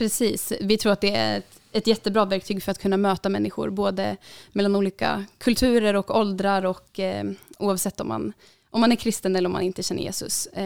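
Dry and close with no echo, in a very clean recording with a silent background, a woman speaks fairly quickly at a medium pitch with monotone, flat intonation. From Uppsala, Sweden. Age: 20s. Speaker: student and middle-distance runner. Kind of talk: podcast interview.

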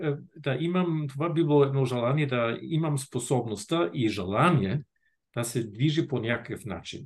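In a German accent, the speaker talks at a fairly slow pace with lively intonation and a somewhat breathy quality. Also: man. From northern Germany. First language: German (speaking Bulgarian). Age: 60s. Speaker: retired diplomat and field hockey federation president. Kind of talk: casual interview. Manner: halting.

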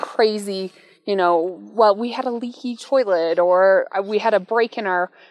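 With an American accent, a woman talks at a fairly slow pace and a fairly high pitch over noticeable background noise. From US small town. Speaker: realtor. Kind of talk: casual chat.

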